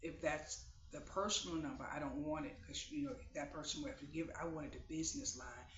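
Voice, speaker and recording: Talking at a fairly quick pace, a man is heard with audible room echo around him. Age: 50s. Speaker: vlogger. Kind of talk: casual chat. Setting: at home, sitting on bed. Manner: halting.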